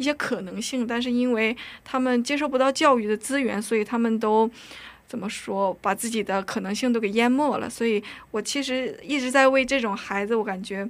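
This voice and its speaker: The speaker is a woman with a high voice. She talks fairly quickly. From North Korea, raised in China. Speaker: university student. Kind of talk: casual interview. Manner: nervous, halting.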